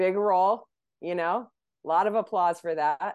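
A woman speaks over a quiet background. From Malaysia (expatriate school). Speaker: actor and writer. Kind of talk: casual interview chat.

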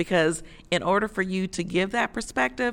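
A woman with an American accent, lively intonation and a moderate pace, on a very clean recording with a silent background. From US Midwest, Chicago. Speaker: labor organization director. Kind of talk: interview. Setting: conference sidelines. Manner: halting, many fillers.

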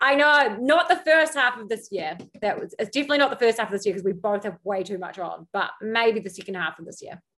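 A woman talks at a fast pace in a medium-pitched, fairly bright voice. Her pitch variation is ordinary.

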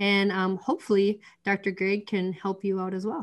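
A woman with an Upper Midwest accent. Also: quiet background. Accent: Upper Midwest American. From North Dakota. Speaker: podcast host and chiropractor. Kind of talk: casual interview chat.

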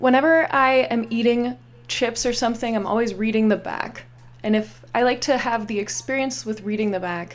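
With an American accent, a woman in a normal speaking voice talks at a moderate pace with a fairly high pitch and ordinary pitch variation. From Pittsburgh, Pennsylvania. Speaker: improv comedian. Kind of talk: casual chat.

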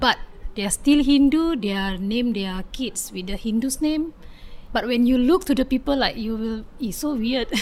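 A woman talks at a moderate pace with a high pitch. Her intonation is lively, with an Indonesian accent. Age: 30s. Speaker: community advocate. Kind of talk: interview. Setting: outdoors on home patio. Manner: halting.

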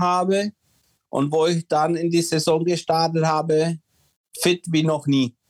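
A man's high, monotone voice, flat in intonation, at a fairly slow pace, dry and close with no echo. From Czechoslovakia, moved to Germany at six. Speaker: former ice hockey player. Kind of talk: casual interview. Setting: home office. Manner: hesitant, many fillers.

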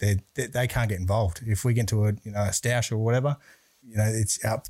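In a very clean recording with a silent background, a man with an Australian accent speaks very fast in a fairly low, somewhat breathy voice with a dark, mellow tone and monotone, flat intonation. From Brisbane, Australia. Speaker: bodyguard and security business owner. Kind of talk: casual interview chat.

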